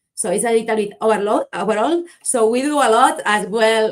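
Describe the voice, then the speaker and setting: Speaking at a moderate pace with a slight Spanish accent, a woman has a fairly high pitch and ordinary pitch variation. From Spain, Barcelona. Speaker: marketing agency founder, conference speaker. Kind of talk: conference presentation. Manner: halting, some self-corrections.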